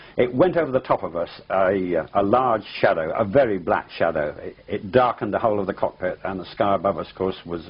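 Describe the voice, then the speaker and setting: The speech moves at a fairly quick pace with lively intonation. It carries an English accent. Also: man. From England. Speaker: pilot. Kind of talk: interview testimony. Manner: halting.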